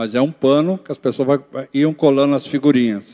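A man's dark, mellow tone at medium pitch, moderate pace and fairly even intonation against a quiet background. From interior of São Paulo state, Brazil (Itapetininga), moved to São Paulo city at 12; São Paulo state, Brazil. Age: 60s. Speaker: pastor. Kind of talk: testimony; personal testimony. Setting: church. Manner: reading aloud. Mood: calm, reflective. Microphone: handheld.

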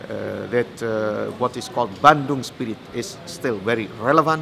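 A man talks at a fairly slow pace in a medium pitch with ordinary pitch variation. Background noise is noticeable. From Indonesia. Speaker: conference organizer and historian. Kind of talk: interview. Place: hall.

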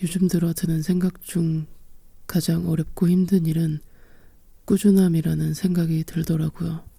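Long pauses come often in this fairly slow speech. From South Korea. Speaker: singer. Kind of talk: ASMR letter reading. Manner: soft-spoken, sleepy.

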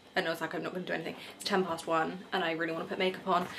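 Noticeable background noise runs under a woman's voice. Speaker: vlogger. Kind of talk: casual vlog chat. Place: home room. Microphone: phone near.

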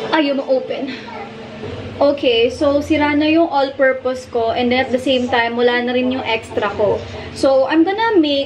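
Moderate pacing, ordinary pitch variation and a high pitch from a woman, with light background noise. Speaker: home vlogger. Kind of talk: casual vlog tutorial. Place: kitchen. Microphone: phone near.

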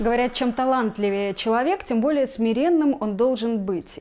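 Her tone dark and mellow, a woman with a high pitch speaks at a moderate pace. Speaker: interviewer. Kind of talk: studio interview. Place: studio.

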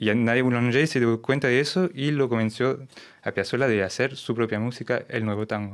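Quiet background behind a man at a fairly quick pace with ordinary pitch variation. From France, Lyon; France. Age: 30s. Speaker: tango bandoneon player; guest. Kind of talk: interview. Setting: radio studio. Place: studio. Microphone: studio mic.

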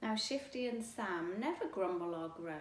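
The speaker is reading aloud in a natural voice. Intonation is lively.

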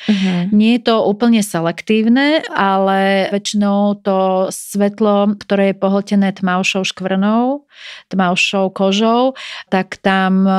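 A woman talks at a fairly slow pace and medium pitch in a plain, everyday voice, with fairly even intonation and very even loudness. The recording is very clean with a silent background, dry and close with no echo. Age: 40s. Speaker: dermatologist. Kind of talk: interview. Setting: studio.

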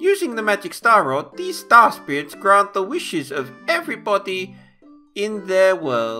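A man's put-on character voice, raised and projected, over faint music in the background. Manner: pompous, storytelling.

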